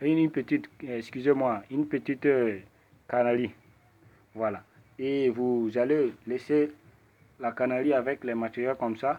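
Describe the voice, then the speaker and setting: Medium pitch from a man, with fairly even intonation and a fairly slow pace. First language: not French (speaking French). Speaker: ritual practitioner. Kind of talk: tutorial. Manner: halting.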